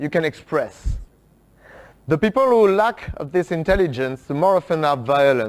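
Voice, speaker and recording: Speaking with a French accent, a man uses lively intonation and a fairly high pitch at a moderate pace. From France. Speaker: workshop speaker. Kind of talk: talk to an audience. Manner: halting, many fillers.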